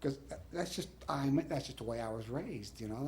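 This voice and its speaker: A man with an American accent speaks in a dark, mellow, somewhat breathy tone, his pitch moving in an ordinary way, with audible room echo. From South Texas (Bishop, Corpus Christi). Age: 60s. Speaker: judge. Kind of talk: interview. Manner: halting, many fillers and restarts.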